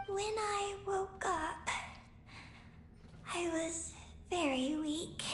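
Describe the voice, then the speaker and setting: Extremely high in pitch, a put-on character voice moves at a very slow pace with long, frequent pauses over clear background noise. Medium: video game. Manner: terse, halting.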